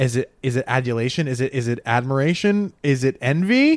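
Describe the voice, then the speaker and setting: In a very clean recording with a silent background, a man with an American accent speaks at a fairly high pitch. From Rhode Island, US. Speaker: comedian. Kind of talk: casual chat.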